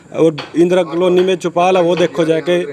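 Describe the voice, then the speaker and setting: Noticeable background noise behind a man's high voice with fairly even intonation. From Haryana, Kurukshetra area. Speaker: villager interviewed. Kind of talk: street interview.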